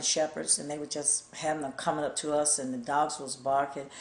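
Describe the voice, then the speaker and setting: A woman's very deep, low voice with an Alabama accent, over noticeable background noise. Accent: Southern US (Alabama). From Gadsden, Alabama. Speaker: civil rights activist. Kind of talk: oral history interview answer.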